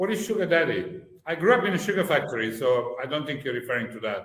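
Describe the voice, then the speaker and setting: Amid audible room echo, a man with a high pitch talks at a very fast pace with very wide pitch swings. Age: 60s. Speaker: podcast co-host. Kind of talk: casual chat.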